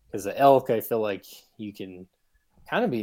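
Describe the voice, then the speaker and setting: A man's dark, mellow voice with an American accent at a moderate pace, in a very clean recording with a silent background. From Utah, Salt Lake City. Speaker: bowhunter and hunting filmmaker. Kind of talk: casual interview conversation.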